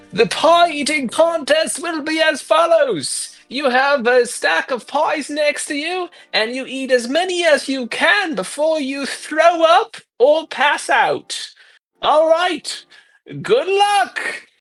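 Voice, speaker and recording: Someone speaks in a put-on character voice at a fairly slow pace. Music plays in the background. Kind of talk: carnival announcer. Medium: actual play. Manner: loud, public-address cheer.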